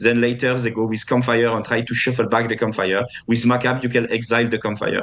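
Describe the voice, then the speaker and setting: A man with a French accent talks very fast at a medium pitch in a flat monotone, with noticeable background noise. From France. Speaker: competitive card game player. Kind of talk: interview. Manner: halting, many fillers and repeats.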